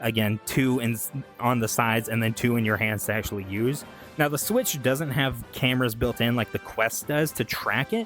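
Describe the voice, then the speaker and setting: Music plays behind a man speaking at a fairly quick pace. His pitch is medium with ordinary variation. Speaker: VTuber gaming commentator. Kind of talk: casual talk to camera. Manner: stuttering, rambling.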